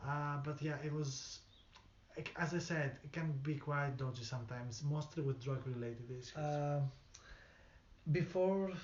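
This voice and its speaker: A somewhat breathy man's voice, fairly high in pitch, at a moderate pace with fairly even intonation and audible room echo. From outside the UK. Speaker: local resident. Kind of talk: interview testimony. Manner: halting.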